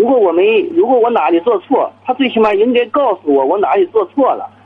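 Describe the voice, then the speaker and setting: Fairly quick speech from a man with very wide pitch swings, set against music in the background. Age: 30s. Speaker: small business owner, caller. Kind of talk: phone-in call. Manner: hesitant, filler-heavy.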